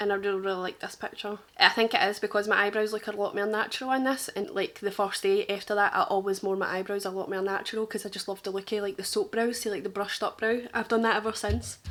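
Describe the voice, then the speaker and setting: A woman talks very fast at a medium pitch with hardly any pauses. She has a strong Glaswegian accent. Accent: thick Glaswegian. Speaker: makeup artist. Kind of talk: casual reaction chat. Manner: animated.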